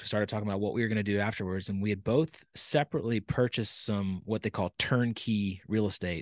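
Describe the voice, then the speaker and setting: The background is quiet, and the sound is dry and close with no echo. A man with an American accent talks at a very fast pace, his fairly low pitch showing ordinary variation. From Texas, Dallas. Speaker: retired navy pilot and business founder. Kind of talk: interview conversation. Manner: hesitant with frequent fillers.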